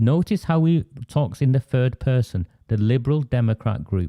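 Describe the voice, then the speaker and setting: A man with a Lancashire accent speaks at medium pitch with a dark, mellow tone and lively intonation. The sound is dry and close with no echo. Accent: Oldham accent, unchanged. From northern England, Oldham. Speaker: online political broadcaster and activist. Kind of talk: political discussion show. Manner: halting, with frequent fillers and restarts.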